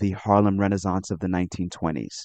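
With a New York accent, a man speaks in a dark, mellow tone, the sound dry and close with no echo. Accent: New York American. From New York City, Brooklyn. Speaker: author. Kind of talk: interview.

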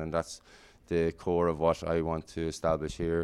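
In a Kilkenny Irish accent, a man with a very deep, low pitch talks at a moderate pace. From Ireland (Kilkenny). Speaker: volleyball coach. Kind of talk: interview.

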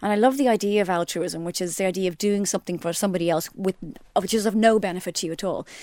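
On a very clean recording with a silent background, a woman with an Irish accent speaks at a very fast pace in a medium pitch, her tone dark and mellow and her intonation fairly even. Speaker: podcast co-host. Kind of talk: casual chat. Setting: studio.

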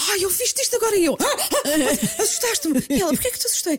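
In a European Portuguese accent, a woman talks at a very fast pace. Her pitch is extremely high and swings very widely. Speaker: podcast co-host. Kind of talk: casual chat. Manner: animated.

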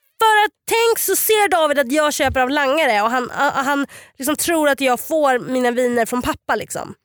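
Her voice is high for a woman. This woman's pitch swings very wide. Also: moderate pace, very even loudness. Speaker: podcast host. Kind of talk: casual chat.

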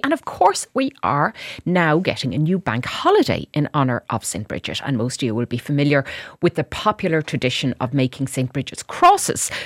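A woman with an Irish accent speaks in a very deep, low voice. Her pitch swings very widely, and the sound is dry and close with no echo. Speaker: radio host. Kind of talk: radio interview. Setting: radio studio.

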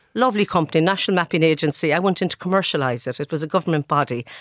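Very fast, lively speech in a western Irish accent, dry and close with no echo, on a very clean recording with a silent background. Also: woman. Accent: Irish (west of Ireland). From west of Ireland (Sligo/Galway). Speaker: chief executive. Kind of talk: radio interview.

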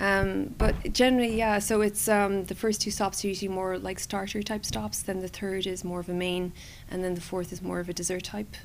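The speaker has a Cork accent and moves at a fairly quick pace. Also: woman, medium pitch for a woman, fairly even intonation. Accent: Cork Irish. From Cork City, Ireland. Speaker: food tour guide. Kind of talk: casual interview.

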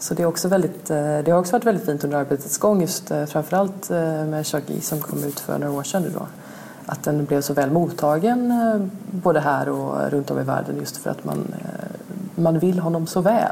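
Over noticeable background noise, a woman talks with a very deep, low pitch and ordinary pitch variation. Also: fairly quick pace. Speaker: literary translator. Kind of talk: interview.

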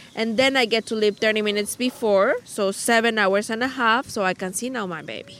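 A woman with a Spanish accent talks at a moderate pace in a fairly high pitch. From Mexico. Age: 30s. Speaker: mother of two. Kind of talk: casual chat. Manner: halting.

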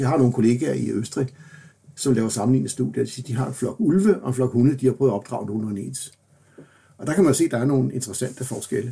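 This man's voice sits at a medium pitch. His pitch variation is ordinary. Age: 60s. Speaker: professor. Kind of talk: interview. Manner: halting.

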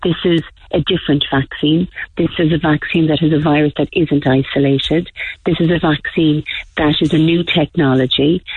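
Someone with an Irish accent speaks at a moderate pace. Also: woman. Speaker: parent. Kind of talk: radio call-in. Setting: phone call.

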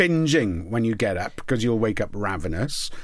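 A man with a Welsh accent speaks in a fairly low voice. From Wales, Port Talbot. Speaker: podcast host. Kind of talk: casual chat.

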